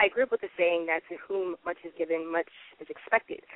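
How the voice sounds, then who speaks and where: An unremarkable speaking voice, a woman's, medium in pitch, at a fairly quick pace with an American accent. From US South, Atlanta. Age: 20s. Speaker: novelist. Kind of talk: interview.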